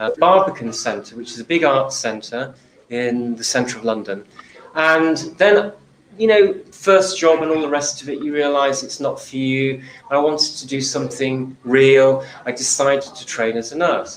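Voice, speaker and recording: A man's fairly high voice in a southern English accent, at a moderate pace with ordinary pitch variation and big swings in loudness, over noticeable background noise. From southern England. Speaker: nurse, healthcare speaker. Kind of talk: talk to live audience.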